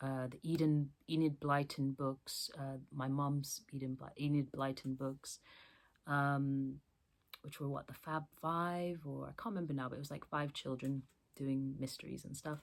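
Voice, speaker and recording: A woman with a very deep, low pitch, fairly slow and flat in monotone intonation. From US, born in England. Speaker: book vlogger. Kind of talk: casual chat. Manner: hesitant, many fillers.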